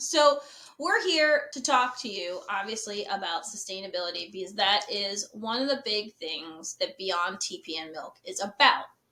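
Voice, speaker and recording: A woman with an unremarkable speaking voice talks at a moderate pace and medium pitch, her intonation lively and her loudness swinging widely. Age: 40s. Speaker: podcast host. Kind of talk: casual chat.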